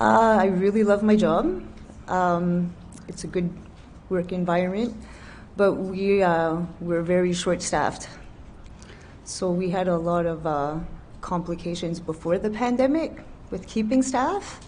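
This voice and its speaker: Against audible room echo, a woman talks at a fairly slow pace with long, frequent pauses. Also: medium pitch for a woman, ordinary pitch variation. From New Brunswick, Canada. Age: 40s. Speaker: nursing home worker, witness. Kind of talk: testimony.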